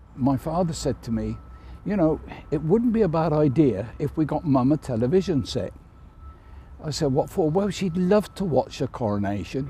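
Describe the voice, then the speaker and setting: A man speaks at a moderate pace in a fairly high pitch with very wide pitch swings, vocal fry and a dark, mellow tone. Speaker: Chelsea pensioner, army veteran. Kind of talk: interview answer.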